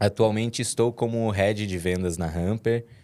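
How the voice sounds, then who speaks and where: A man's fairly low-pitched voice with ordinary pitch variation. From interior of Minas Gerais, Brazil (Timóteo). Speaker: head of sales. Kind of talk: podcast interview. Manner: hesitant, many fillers and repetitions.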